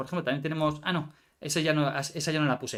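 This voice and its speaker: This man's voice has a bright, sharp tone. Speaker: card game content creator. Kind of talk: live stream card review. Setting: live stream. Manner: fast.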